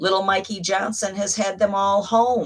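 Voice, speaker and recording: This woman has an American accent. Her voice carries vocal fry. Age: 70s. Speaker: reverend and video blogger. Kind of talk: casual vlog monologue. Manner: animated.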